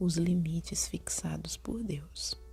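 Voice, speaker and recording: Soft-spoken whispering unfolds at a very slow pace with music in the background. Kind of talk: soft whispered book reading. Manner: soft-spoken, whispered.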